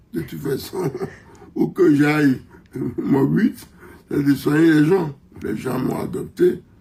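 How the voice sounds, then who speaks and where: Speaking very slowly with a fairly high pitch, a man leaves long, frequent pauses. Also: ordinary pitch variation. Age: 80s+. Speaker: country doctor. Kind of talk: interview.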